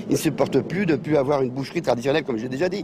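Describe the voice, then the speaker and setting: A man rattles off his words very fast, his intonation lively, with noticeable noise in the background. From France, Paris suburbs (Val-d'Oise). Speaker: real estate agent. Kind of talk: interview. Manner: halting.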